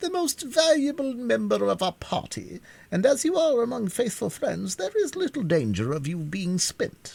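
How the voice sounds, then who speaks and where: A man's put-on character voice at an extremely high pitch, moderate pace, on a very clean recording with a silent background. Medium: read story. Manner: pedantic, pompous.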